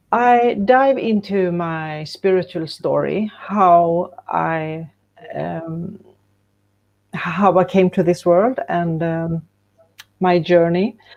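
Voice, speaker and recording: A woman with a Swedish accent, fairly low in pitch, very slow, with ordinary pitch variation and long, frequent pauses. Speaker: co-author of an anthology book. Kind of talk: panel interview. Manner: halting.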